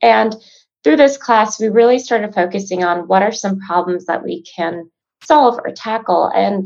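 This is a plain, everyday voice with an American accent. It moves at a moderate pace with lively intonation. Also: woman. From Chicago. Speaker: sales professional and business co-founder. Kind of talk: casual interview chat.

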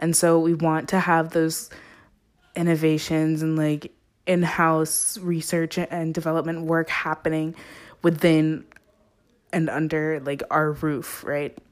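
With long, frequent pauses, a woman speaks fairly slowly in a very deep, low pitch and monotone, flat intonation. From Zimbabwe. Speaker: podcast host, college student. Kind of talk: casual solo monologue.

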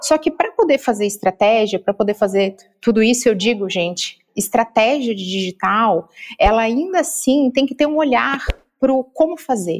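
At a moderate pace, a woman uses an ordinary speaking voice with fairly high pitch and lively intonation. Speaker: marketing consultant. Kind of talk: interview.

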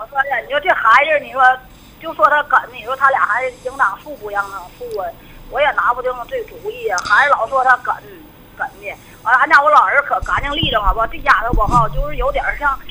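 A woman's high-pitched voice at a fairly quick pace, with very wide pitch swings, big swings in loudness and noticeable background noise. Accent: Northeastern Chinese. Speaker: caller. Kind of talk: phone-in advice call. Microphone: too quiet.

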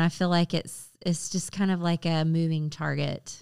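In a very clean recording with a silent background, a woman with an American accent speaks slowly-ish at a fairly slow pace in a fairly low pitch, a plain, everyday voice. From US South, Augusta, Georgia. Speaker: interior designer. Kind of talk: casual chat.

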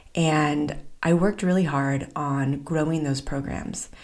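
A woman speaks at a fairly slow pace in a very deep, low pitch with ordinary pitch variation. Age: 40s. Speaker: podcast host and business coach. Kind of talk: personal solo monologue. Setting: studio, alone at the mic.

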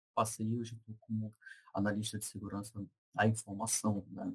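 A man's somewhat breathy voice at medium pitch, with a dry, close sound and no echo. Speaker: information security researcher. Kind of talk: casual interview chat.

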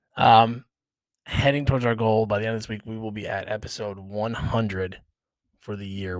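A man talks at a moderate pace with a fairly low pitch. His intonation is monotone and flat. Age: 40s. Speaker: podcast host. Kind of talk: casual chat.

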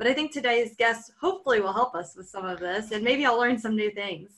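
This woman has a normal speaking voice, fairly high in pitch. She talks at a fairly quick pace with ordinary pitch variation. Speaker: teacher and podcast co-host. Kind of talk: casual podcast conversation.

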